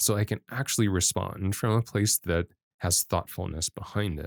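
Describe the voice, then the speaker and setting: Recorded very cleanly against a silent background, with a dry, close sound and no echo, a man with a fairly low pitch talks at a moderate pace. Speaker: life coach. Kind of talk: podcast conversation. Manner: frequent pauses.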